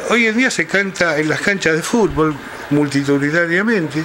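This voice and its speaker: Over light background noise, a man speaks in a raised, projected voice at a moderate pace with very wide pitch swings. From Buenos Aires province, Argentina. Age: 60s. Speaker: historian. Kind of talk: interview. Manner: halting. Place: home room.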